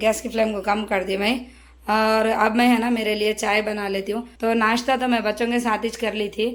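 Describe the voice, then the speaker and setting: At a moderate pace, a woman with a fairly high pitch talks in a monotone, flat intonation. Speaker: family vlogger, homemaker. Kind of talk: casual vlog narration. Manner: loud.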